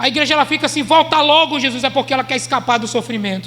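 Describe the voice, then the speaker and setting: The voice is raised and projected. Audible room echo and noticeable background noise surround it. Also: man. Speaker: pastor. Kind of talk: sermon.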